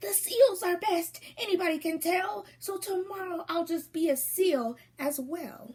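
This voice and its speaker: Putting on a character voice, a woman speaks at a moderate pace with an extremely high pitch. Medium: read story. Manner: playful, pleased with himself.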